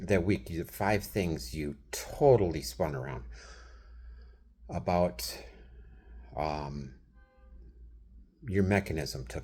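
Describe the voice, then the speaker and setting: Vocal fry and lively intonation mark this voice, with a Wisconsin accent. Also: man. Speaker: vlogger. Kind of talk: casual monologue. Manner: animated.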